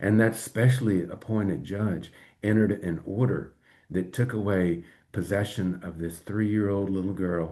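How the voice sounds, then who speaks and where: With an American accent, a man talks at a moderate pace against a quiet background. His fairly low voice carries a dark, mellow tone and fairly even intonation. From US, rural. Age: 60s. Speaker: lawyer. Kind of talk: live-stream monologue. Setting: live stream.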